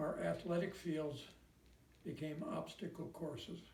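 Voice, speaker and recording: A man's fairly high voice in an American accent, at a fairly slow pace with audible room echo. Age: 90s. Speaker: war veteran. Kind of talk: recorded personal message.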